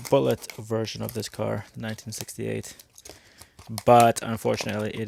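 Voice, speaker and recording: Mumbling his words, a man talks at a moderate pace. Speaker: toy car reviewer. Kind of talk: unboxing review.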